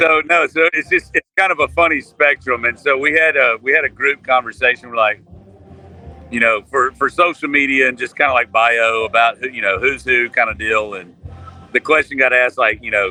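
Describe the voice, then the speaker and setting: A man in a Southern US accent speaks at a fairly quick pace. The sound is dry and close with no echo, with noticeable background noise. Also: medium pitch for a man, ordinary pitch variation. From Mississippi, US South. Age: 40s. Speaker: country musician. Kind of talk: casual chat.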